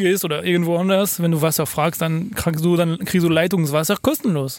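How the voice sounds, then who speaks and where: Speaking with ordinary pitch variation, a man uses a high-pitched voice. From France (Paris). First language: French (speaking German). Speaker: podcast co-host. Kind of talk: casual chat. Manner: halting.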